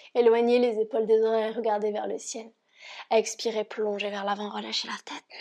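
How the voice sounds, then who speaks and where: Dark, mellow tones from a woman at a fairly high pitch, monotone and flat, at a moderate pace. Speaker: yoga teacher. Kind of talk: guided yoga class instruction. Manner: calm, gentle.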